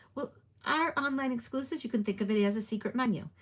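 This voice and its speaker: The speaker is a woman with a somewhat breathy voice. She talks at a fairly quick pace. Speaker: paper crafter and stamp demonstrator. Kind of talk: live craft tutorial. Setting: livestream. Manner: quiet; casual, with fillers.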